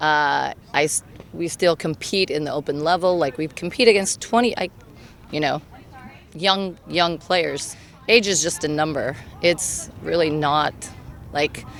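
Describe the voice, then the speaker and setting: A woman speaks with an American accent. Her pitch is fairly low and her pace moderate. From Colorado. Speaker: senior volleyball player and coach. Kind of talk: interview.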